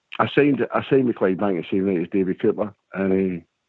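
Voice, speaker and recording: At a very fast pace, someone talks in a Scottish accent with ordinary pitch variation. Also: man. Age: 60s. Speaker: caller, former footballer. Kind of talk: casual chat.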